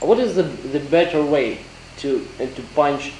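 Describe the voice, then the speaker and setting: A man talks at a fairly slow pace. Light background noise and audible room echo are present. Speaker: interviewer. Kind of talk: interview. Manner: halting. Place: hall.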